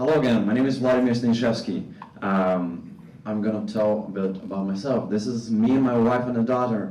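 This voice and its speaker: Speaking in a Russian accent at a moderate pace, a man with a fairly low pitch and a dark, mellow tone shows ordinary pitch variation while audible room echo surrounds him. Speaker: animation faculty member. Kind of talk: conference presentation.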